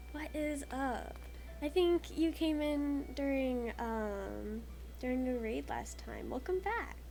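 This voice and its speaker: The speech moves at a very slow pace, with audible room echo and noticeable background noise. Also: woman. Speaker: streamer and artist. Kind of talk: casual chat. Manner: low energy.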